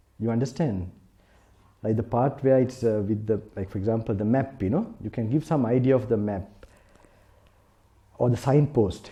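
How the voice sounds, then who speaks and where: Somewhat breathy and dark, mellow in tone, a man's voice moves at a moderate pace with ordinary pitch variation. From South Africa. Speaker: Buddhist monk. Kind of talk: sermon. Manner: halting.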